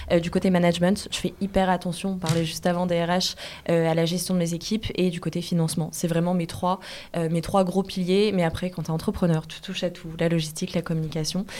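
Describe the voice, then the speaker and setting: At a fairly quick pace, a woman speaks at a fairly low pitch with monotone, flat intonation. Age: 20s. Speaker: entrepreneur. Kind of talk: interview. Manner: fast.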